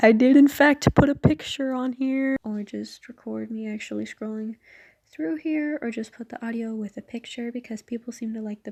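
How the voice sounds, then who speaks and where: A soft-spoken woman with a fairly high pitch talks at a moderate pace, her loudness swinging widely while her pitch varies in an ordinary way. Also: dry, close sound with no echo. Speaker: fanfiction reader. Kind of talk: casual chat. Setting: at home at night. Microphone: quiet, poor audio quality.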